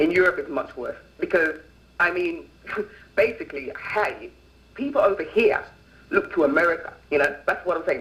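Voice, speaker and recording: At a fairly quick pace, a man talks while noticeable background noise is present. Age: 20s. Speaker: activist guest on talk show. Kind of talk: interview on call-in show. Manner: animated.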